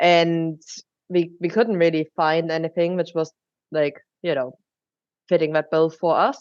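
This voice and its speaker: A woman with a German accent talks at a fairly slow pace, leaving long, frequent pauses. Her pitch is fairly low and her intonation fairly even. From Germany. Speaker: drinks company co-founder. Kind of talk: podcast interview.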